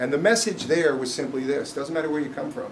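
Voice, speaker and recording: With a US East Coast accent, a man talks very fast with fairly even intonation amid noticeable background noise and audible room echo. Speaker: business executive. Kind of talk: speech. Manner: loud; unscripted.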